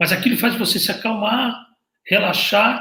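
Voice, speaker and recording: A man speaks at a moderate pace in a raised, projected voice. His tone is animated, bright and sharp. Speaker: hairdresser and visagism teacher. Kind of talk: casual talk to camera. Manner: occasional stammer and repeated words.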